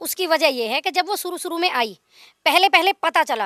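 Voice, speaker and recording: Raising and projecting her voice, a woman with a slight Haryanvi accent speaks at an extremely high pitch in a bright, sharp tone, with a dry, close sound and no echo. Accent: slight Haryanvi tinge in Hindi. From Haryana, India. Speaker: local resident interviewed. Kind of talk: street interview.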